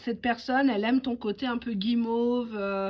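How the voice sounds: The woman has a fairly high pitch and fairly even intonation. She speaks at a moderate pace.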